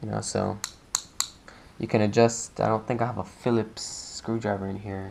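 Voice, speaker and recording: Amid noticeable background noise, the speaker keeps a moderate pace broken by long, frequent pauses. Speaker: hobbyist model maker. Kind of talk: tutorial. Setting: home, recording with action camera on box. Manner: casual, filler-heavy.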